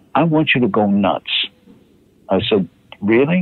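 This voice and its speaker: A man with an American accent talks with very wide pitch swings. There is noticeable background noise. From Harlem, New York. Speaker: actor. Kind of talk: interview answer.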